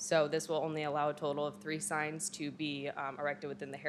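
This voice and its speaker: Over noticeable background noise, a woman talks at a fairly quick pace with a very deep, low pitch. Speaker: presenter. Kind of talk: formal presentation. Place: hall. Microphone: podium.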